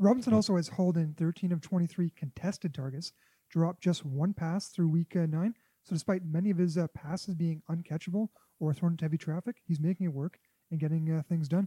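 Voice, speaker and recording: Through a dry, close sound with no echo, a man talks at a fairly quick pace in a high pitch, his tone dark and mellow and his intonation fairly even. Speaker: fantasy football podcast co-host. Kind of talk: casual chat.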